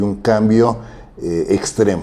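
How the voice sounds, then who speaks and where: At a fairly slow pace, a man talks with a fairly low pitch and a dark, mellow tone. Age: 70s. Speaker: social activist and commentator. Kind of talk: interview.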